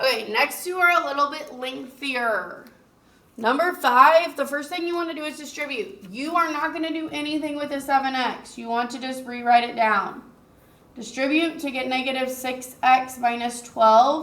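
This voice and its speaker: A woman with a high pitch and a bright, sharp tone speaks at a moderate pace with ordinary pitch variation and big swings in loudness, amid audible room echo. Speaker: teacher. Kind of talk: recorded math lesson.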